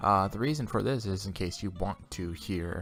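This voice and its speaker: Soft-spoken and fairly low in pitch, a man talks with ordinary pitch variation in a very clean recording with a silent background. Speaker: video game critic and podcaster. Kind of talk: solo commentary monologue. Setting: home recording at night. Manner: hesitant, many fillers.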